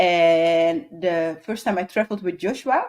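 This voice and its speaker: With a Dutch accent, a woman speaks at a fairly slow pace, with a medium pitch and lively intonation. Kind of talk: casual chat. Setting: live stream. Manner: swallows some letters.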